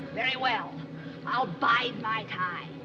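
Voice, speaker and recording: A man puts on a nasal, gravelly character voice at an extremely high pitch over loud background noise. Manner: menacing, compressed.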